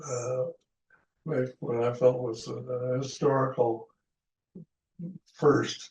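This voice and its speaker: A man speaks at a very slow pace and medium pitch, his voice somewhat breathy. His intonation stays fairly even. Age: 80s+. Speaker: retired aeronautical engineer. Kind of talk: interview answer.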